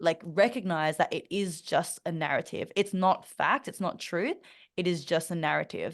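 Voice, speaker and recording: Against a quiet background, a woman with an Australian accent speaks at a moderate pace in a fairly low pitch with ordinary pitch variation. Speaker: mentor and public speaker. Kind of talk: interview conversation. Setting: podcast. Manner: frequent fillers and restarts.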